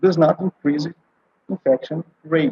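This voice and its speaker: A man speaks with a Brazilian Portuguese accent. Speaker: oncologist and palliative care doctor. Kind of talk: conference presentation. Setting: online conference video call. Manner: halting, many fillers.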